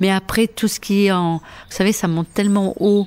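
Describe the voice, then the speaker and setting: Fairly even intonation marks this woman's medium-pitched voice. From Porquerolles, Provence, southern France. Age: 60s. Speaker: retired nursery worker. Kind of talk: interview conversation. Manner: halting.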